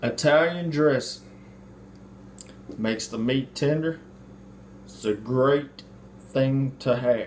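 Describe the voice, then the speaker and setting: With a Mississippi accent, a man speaks at a medium pitch and a very slow pace, using ordinary pitch variation and long, frequent pauses. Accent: Southern US (Mississippi). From US South, Mississippi. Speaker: home cook, video host. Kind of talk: cooking tutorial. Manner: casual.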